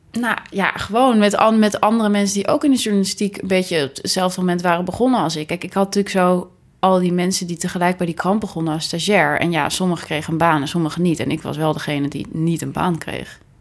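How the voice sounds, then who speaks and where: A woman with a medium-pitched voice talks very fast, her pitch varying in an ordinary way. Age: 20s. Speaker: podcast co-host, freelance journalist. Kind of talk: casual chat. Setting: home living room turned studio.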